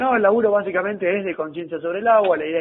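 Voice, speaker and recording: Speaking very fast in a Rioplatense accent, a man uses a high pitch with ordinary variation in it. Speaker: sales coach. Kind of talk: coaching feedback; role-play sales call.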